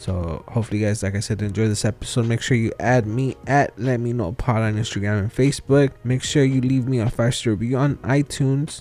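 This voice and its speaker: Music plays in the background as a man talks with hardly any pauses. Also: medium pitch for a man, ordinary pitch variation. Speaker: podcast host. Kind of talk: casual interview. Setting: remote recording with out-of-state guest.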